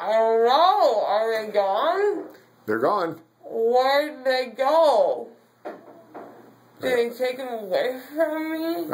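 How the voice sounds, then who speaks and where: Pausing long and often at a very slow pace, a woman speaks in a high pitch that makes very wide swings. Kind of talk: groggy casual answers. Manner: dazed, slurred, numb-mouthed questions.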